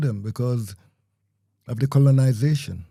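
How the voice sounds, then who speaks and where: On a very clean recording with a silent background, a man with a fairly high, somewhat breathy voice and a dark, mellow tone speaks at a moderate pace with fairly even intonation. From Jamaica. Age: 60s. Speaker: community radio broadcaster. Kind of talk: interview conversation.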